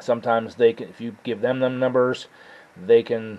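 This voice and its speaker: At a moderate pace, a man talks. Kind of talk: tutorial. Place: garage. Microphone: camera far.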